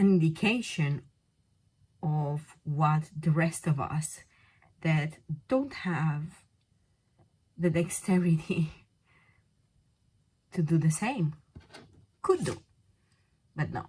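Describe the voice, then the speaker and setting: With a non-native accent, a woman speaks at a very slow pace in a very deep, low pitch, somewhat breathy, with ordinary pitch variation and long, frequent pauses. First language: not English. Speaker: polymer clay craft tutor. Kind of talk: tutorial. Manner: casual, hesitant with fillers.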